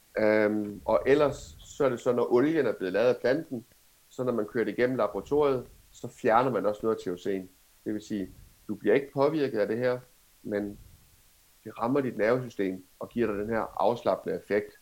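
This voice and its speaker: A man with an unremarkable speaking voice, medium-pitched, at a moderate pace with ordinary pitch variation. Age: 30s. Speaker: cannabis entrepreneur. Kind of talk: interview.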